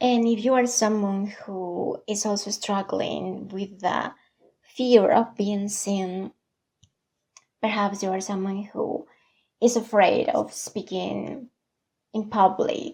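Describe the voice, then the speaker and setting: Somewhat breathy and dark, mellow in tone, a woman speaks very slowly at a medium pitch with fairly even intonation. She leaves long, frequent pauses. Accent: non-native. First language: not English. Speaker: vlogger. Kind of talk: personal vlog monologue.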